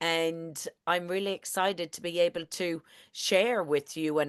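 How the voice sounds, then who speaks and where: A woman speaks at a moderate pace with a strong Irish accent and a fairly low voice, recorded dry and close with no echo over a quiet background. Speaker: network marketing presenter. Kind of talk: online presentation. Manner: animated.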